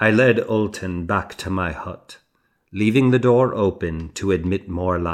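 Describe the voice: Someone reads aloud plainly. Little can be heard behind the voice.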